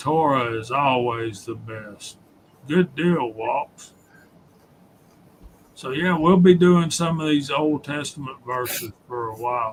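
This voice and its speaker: With a Southern US accent, a man speaks at a very slow pace, leaving long, frequent pauses. His voice is fairly high and swings greatly in loudness. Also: ordinary pitch variation. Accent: Southern American. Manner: drawl.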